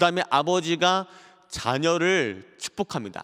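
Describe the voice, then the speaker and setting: Over a quiet background, a man talks in a bright, sharp tone at a fairly high pitch. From South Korea. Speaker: pastor. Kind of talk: lecture. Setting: church broadcast, online. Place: church. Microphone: handheld.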